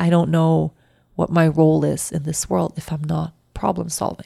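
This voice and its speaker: A woman with a dark, mellow tone speaks at a moderate pace in a dry, close sound with no echo, on a very clean recording with a silent background. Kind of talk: personal reflection. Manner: halting.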